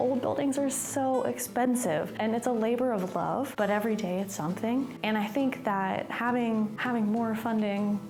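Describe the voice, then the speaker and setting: A woman speaks against noticeable background noise, with audible echo from the room. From East Tennessee. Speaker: historic preservation worker. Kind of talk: documentary interview.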